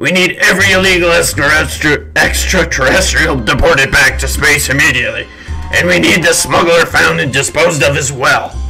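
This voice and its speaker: Someone performs a put-on character voice at a moderate pace while music plays clearly in the background. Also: man. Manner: commanding, impatient.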